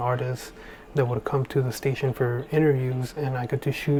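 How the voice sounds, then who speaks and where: A man's quiet whispering at a fairly quick pace. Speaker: videographer and photographer, tutorial creator. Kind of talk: tutorial. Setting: at home late at night. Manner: whispering, hushed; casual with many fillers.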